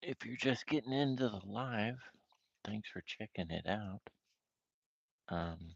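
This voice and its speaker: Soft-spoken and fairly low-pitched, a man talks at a fairly slow pace with ordinary pitch variation and long, frequent pauses. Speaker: amateur artist streamer. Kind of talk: live stream art session chat. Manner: casual, relaxed.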